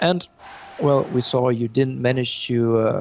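Noticeable background noise sits behind a man speaking. He goes at a fairly slow pace with ordinary pitch variation. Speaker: esports commentator. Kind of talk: live commentary. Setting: online stream.

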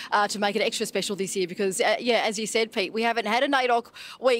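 A woman talks at a very fast pace with ordinary pitch variation. The sound is dry with no echo. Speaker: TV reporter on location. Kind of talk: live news cross answer. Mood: warm, moved. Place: open country. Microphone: handheld.

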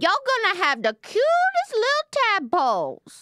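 A woman puts on a character voice with a Louisiana accent, her pitch extremely high and swinging very widely. She keeps a moderate pace. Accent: Louisiana Bayou. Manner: playful, comic.

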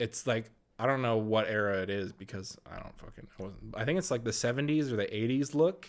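Speaking at a moderate pace with lively intonation, a man uses an unremarkable speaking voice at a medium pitch. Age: 20s. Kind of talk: casual chat.

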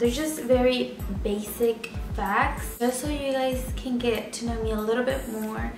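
Clear music sounds in the background. Over it, a woman talks at a fairly slow pace. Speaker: vlogger. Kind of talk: casual talk to camera. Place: home room. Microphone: camera far.

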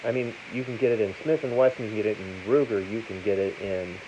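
Light background noise runs under the recording. A man speaks at a moderate pace. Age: 50s. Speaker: gun seller and video host; gun seller, video host. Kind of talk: casual talk to camera. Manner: plain, unpolished speech. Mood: opinionated, persuasive. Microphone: phone near.

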